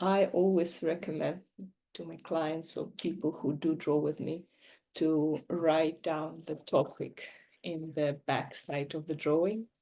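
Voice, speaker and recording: Fairly low pitch from a woman, dark and mellow in tone, at a fairly slow pace over a quiet background. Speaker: neurographica coach. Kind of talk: tutorial.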